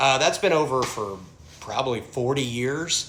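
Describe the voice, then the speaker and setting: This man speaks with a Southern US accent at a moderate pace. His pitch is medium, with ordinary variation. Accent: Southern American. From American South. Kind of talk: casual talk to camera.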